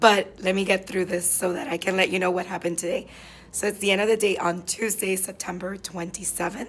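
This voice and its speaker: Raspy and hoarse, a woman puts on a character voice, talking at a fairly quick pace and a medium pitch. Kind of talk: casual vlog chat. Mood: tired end-of-day recap.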